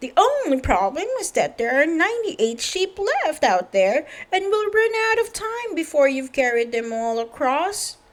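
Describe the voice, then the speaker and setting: Doing a put-on character voice, a woman talks at a moderate pace with hardly any pauses, her extremely high pitch making very wide swings. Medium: read story.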